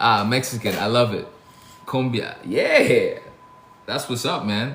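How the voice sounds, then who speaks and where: Against noticeable background noise and audible room echo, a man with an American accent speaks in an animated tone at a fairly slow pace. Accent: Caribbean, comes out sometimes. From Brooklyn, New York (born Saint Lucia). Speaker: chef. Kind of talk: casual livestream chat. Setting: TikTok live stream, home kitchen. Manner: casual, animated.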